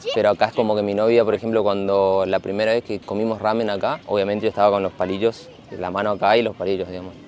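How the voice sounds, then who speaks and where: A man with a fairly low voice talks at a very fast pace in a fairly even intonation, with noticeable background noise behind him. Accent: Corrientes. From Argentina, Corrientes. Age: 30s. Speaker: architect. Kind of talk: casual interview.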